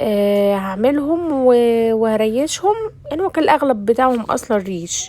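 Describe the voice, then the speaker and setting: The speaker has an Egyptian accent and lively intonation, moving at a fairly slow pace with hardly any pauses. Noticeable background noise sits behind the voice. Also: woman, fairly high pitch for a woman. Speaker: cooking vlogger. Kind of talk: casual cooking vlog. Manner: casual and chatty.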